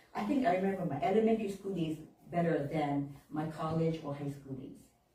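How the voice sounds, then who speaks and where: A woman with a Japanese accent talks very fast with lively intonation. The room echo is audible and the background noise is noticeable. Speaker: minister. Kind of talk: sermon. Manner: conversational, informal.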